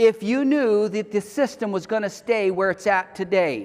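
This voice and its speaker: Pitched high for a man, his animated voice carries ordinary pitch variation. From US South. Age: 60s. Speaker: homesteading teacher. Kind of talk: lecture.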